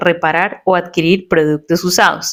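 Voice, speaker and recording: At a moderate pace, a woman with an unremarkable speaking voice talks at medium pitch over a very clean recording with a silent background. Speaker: podcast host, journalist. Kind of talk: podcast narration.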